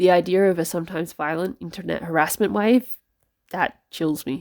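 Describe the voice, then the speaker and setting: With an Australian accent, a woman speaks at a moderate pace and a fairly low pitch, with ordinary pitch variation. The recording is very clean, with a silent background. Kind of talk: personal letter reading, book reflection.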